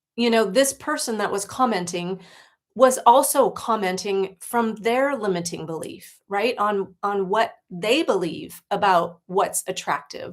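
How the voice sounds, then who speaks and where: A woman with an American accent has a plain, everyday voice, a medium pitch, lively intonation and a fairly slow pace. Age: 60s. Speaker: life coach. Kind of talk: livestream talk. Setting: livestream.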